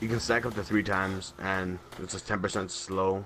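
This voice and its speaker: Over noticeable background noise, a man with a very deep, low voice speaks at a fairly slow pace in a flat monotone. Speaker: gaming video creator. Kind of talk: gaming tutorial commentary. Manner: stutters often.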